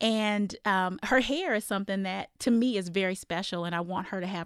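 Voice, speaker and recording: On a very clean recording with a silent background, a woman uses a normal speaking voice at medium pitch and a moderate pace, with ordinary pitch variation. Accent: American. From Iowa. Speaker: university program director. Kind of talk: roundtable discussion.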